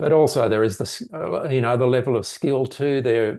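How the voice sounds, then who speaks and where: With an Australian accent, a man talks at a fairly quick pace. His tone is dark and mellow, and his pitch varies in an ordinary way. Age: 70s. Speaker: mental health researcher. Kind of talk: interview.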